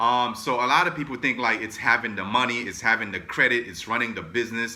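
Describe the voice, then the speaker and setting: A man speaks with a New York accent. His medium-pitched voice has a bright, sharp tone. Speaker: entrepreneur and motivational vlogger. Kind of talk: motivational talk. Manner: fast; casual, filler-heavy.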